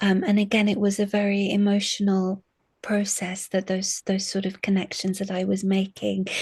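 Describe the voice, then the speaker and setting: Speaking at a moderate pace, a woman with a medium pitch and a somewhat breathy voice keeps a monotone, flat intonation. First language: Arabic. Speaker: university lecturer in English literature. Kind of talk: interview. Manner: halting, many fillers and repetitions.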